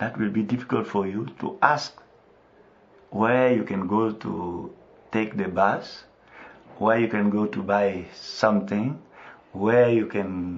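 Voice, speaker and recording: A man with a West African French accent, fairly low in pitch, at a very slow pace. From Ivory Coast. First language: French (mother tongue Bété). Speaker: missionary. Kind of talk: radio interview. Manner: halting, with hesitations.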